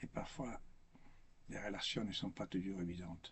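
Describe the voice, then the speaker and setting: A man's somewhat breathy, fairly low voice with a non-native accent. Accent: foreign accent in French, makes mistakes. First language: not French (speaking French). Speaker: priest or religious speaker. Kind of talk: spiritual talk. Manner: halting, with repetitions.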